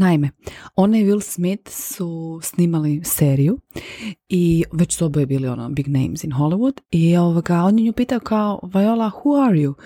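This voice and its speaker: The sound is dry and close, with no echo. Its tone is dark and mellow. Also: woman, fairly low pitch for a woman, lively intonation, moderate pace. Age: 40s. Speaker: podcast host. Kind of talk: personal monologue. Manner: casual, conversational with English phrases.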